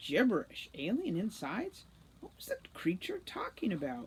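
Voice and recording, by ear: At a moderate pace, a woman speaks at a medium pitch with very wide pitch swings.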